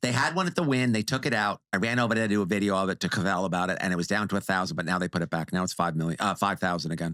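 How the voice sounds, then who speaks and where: Very fast and animated, a man with a New York accent speaks in a very deep, low voice with a bright, sharp tone, ordinary pitch variation and very even loudness, in a very clean recording with a silent background. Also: hardly any pauses. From New York, Long Island. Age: 60s. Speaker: casino industry video creator. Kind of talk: casual podcast interview.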